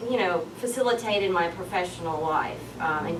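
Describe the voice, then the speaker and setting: A woman with a strong Southern US accent talks at a fairly quick pace amid noticeable background noise and audible room echo. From US South. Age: 30s. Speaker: public policy coordinator and conference speaker. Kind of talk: conference talk.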